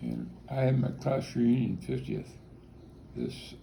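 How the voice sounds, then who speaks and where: A man with a Midwestern US accent talks at a very slow pace, with audible room echo around him. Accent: US Midwest. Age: 60s. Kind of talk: interview. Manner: halting.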